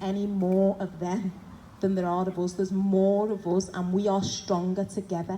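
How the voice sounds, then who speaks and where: With a Liverpool accent, a woman speaks at a medium pitch. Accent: Scouse. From Liverpool, England. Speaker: activist, former police officer. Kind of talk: protest speech. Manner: loud; impassioned.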